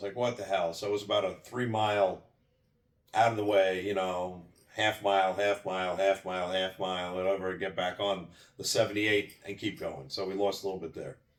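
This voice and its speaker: He has an unremarkable speaking voice, fairly low for a man. He talks at a fairly quick pace with fairly even intonation. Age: 60s. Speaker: cross-country road rally driver. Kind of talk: personal recap of an event. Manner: repetitive false starts.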